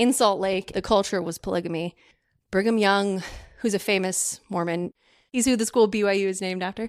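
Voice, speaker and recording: In a very clean recording with a silent background, a woman speaks at a fairly quick pace, her pitch medium with ordinary variation. The sound is dry and close with no echo, and she has a normal speaking voice. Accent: American. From California. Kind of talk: casual interview chat.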